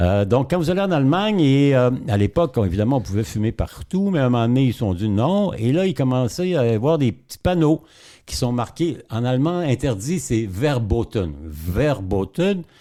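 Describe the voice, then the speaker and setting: The recording is very clean, with a silent background. A man speaks in a dark, mellow tone with very wide pitch swings. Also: medium pitch for a man, moderate pace. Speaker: journalist and historian. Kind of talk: podcast interview. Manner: hesitant with fillers.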